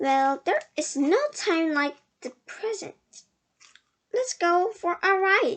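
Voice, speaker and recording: Putting on a character voice with an extremely high pitch, a woman speaks at a very slow pace with long, frequent pauses. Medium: read story. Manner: enthusiastic, talkative.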